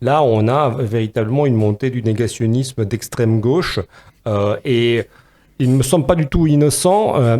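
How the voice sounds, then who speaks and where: A man's dark, mellow tone carries his words at a fairly slow pace. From Romania. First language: Romanian (speaking French). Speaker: philosopher and podcast co-host. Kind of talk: podcast discussion. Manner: hesitant, many fillers.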